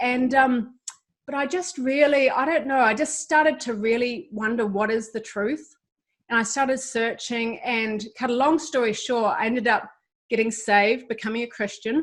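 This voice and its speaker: In a New Zealand accent, a woman with a high-pitched voice talks at a moderate pace using ordinary pitch variation. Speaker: ministry founder, guest. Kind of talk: testimony. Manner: hesitant fillers.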